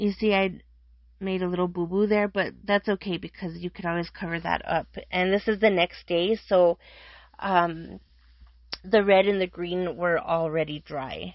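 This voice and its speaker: At a moderate pace and medium pitch, a woman speaks in an unremarkable speaking voice with fairly even intonation. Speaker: craft youtuber. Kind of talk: tutorial. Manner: casual.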